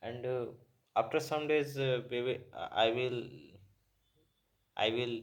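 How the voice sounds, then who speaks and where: Speaking with a Bihar accent, a man at medium pitch talks at a very slow pace with long, frequent pauses and fairly even intonation. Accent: Indian English (Bihar). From Bihar, India. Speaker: beginner English learner. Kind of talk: casual talk to camera. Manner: hesitant, many filler sounds.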